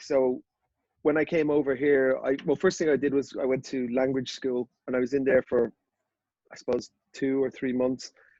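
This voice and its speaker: A man with an Irish accent, fairly high in pitch, dark and mellow in tone, at a moderate pace with fairly even intonation and a dry, close sound with no echo. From Ireland, Dublin. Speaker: golf media founder. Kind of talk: podcast interview.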